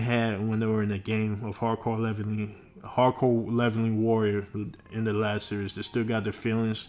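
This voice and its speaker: A man with fairly low pitch, monotone, flat intonation and a moderate pace. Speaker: webtoon reviewer, channel owner. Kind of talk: casual review monologue. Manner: halting, many fillers and self-corrections.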